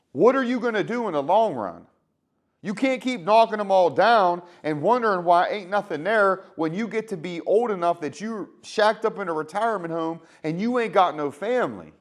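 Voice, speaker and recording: A man speaks in an animated tone at a high pitch. His pace is moderate and his pitch variation ordinary. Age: 30s. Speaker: healthcare worker, vlogger. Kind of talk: motivational monologue. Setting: garage. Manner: casual, animated.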